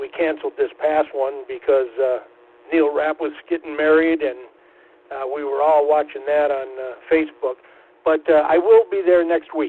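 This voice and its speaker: His intonation is fairly even. The man's pitch sits fairly high. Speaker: amateur radio operator and news reader. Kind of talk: casual chat. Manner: slow; clear diction.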